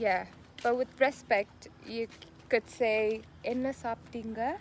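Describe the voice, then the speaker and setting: Someone with a Tamil accent speaks at a very slow pace with fairly even intonation. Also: woman, fairly high pitch for a woman. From South India. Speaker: music TV show co-host. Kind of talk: show presenting; casual language lesson.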